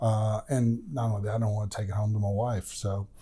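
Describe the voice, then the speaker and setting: Somewhat breathy and dark, mellow in tone, a man's voice moves at a moderate pace. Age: 60s. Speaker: retired political journalist and columnist. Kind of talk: casual interview chat. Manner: halting, many fillers.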